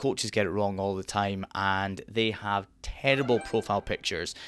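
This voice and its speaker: A man's fairly low voice with fairly even intonation, on a very clean recording against a silent background. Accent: Scottish. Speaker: online marketing coach. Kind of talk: tutorial. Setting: dark back room at home.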